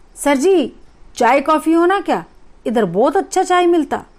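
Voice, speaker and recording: Using a put-on character voice, a woman speaks at a moderate pace with a high pitch. Her intonation is lively, and her loudness stays very even. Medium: read story.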